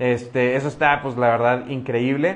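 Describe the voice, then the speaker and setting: A man talks at a moderate pace and medium pitch. His is an unremarkable speaking voice. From Mexico, Monterrey. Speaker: podcast host. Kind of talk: casual interview on a live stream.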